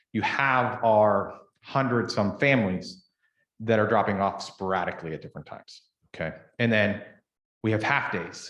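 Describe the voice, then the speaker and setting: With a Pittsburgh accent, a man speaks at a moderate pace in a fairly low pitch. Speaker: daycare owner. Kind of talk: public meeting presentation. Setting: township board meeting.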